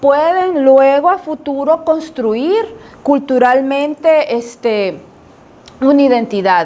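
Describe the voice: Slowly, a woman speaks in a high, slightly mellow voice with ordinary pitch variation.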